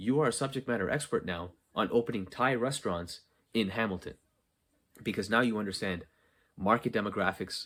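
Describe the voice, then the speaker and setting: A man talks fairly quickly in a plain, everyday voice with ordinary pitch variation, on a very clean recording with a silent background. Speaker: podcast host, content creation coach. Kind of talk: solo podcast monologue. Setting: unfinished basement.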